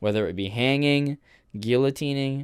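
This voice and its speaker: In a very clean recording with a silent background, a man speaks at a medium pitch and moderate pace with ordinary pitch variation. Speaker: student presenter. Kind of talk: class presentation video. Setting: bedroom. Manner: loud at times.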